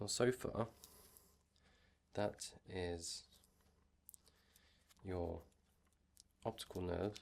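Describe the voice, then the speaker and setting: The delivery is very slow. Long pauses come often. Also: man, very deep, low pitch for a man, fairly even intonation. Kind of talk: ASMR medical roleplay. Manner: soft-spoken, whispered.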